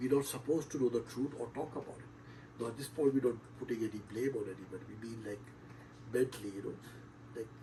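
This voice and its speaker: Loudness swings widely from moment to moment, with vocal fry running through the voice. The intonation stays fairly even. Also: man, medium pitch for a man. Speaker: show host. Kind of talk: monologue on spirituality. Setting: online stream. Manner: hesitant, filler-heavy.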